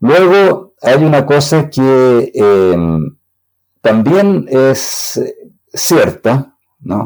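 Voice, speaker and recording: Very slow and broken by long, frequent pauses, a man's fairly high voice carries lively intonation. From Chile. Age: 70s. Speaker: computer scientist. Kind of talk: interview.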